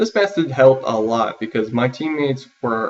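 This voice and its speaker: A man's medium-pitched, unremarkable speaking voice with ordinary pitch variation at a moderate pace. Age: 20s. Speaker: university student. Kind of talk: self-interview, prepared answers. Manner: formal.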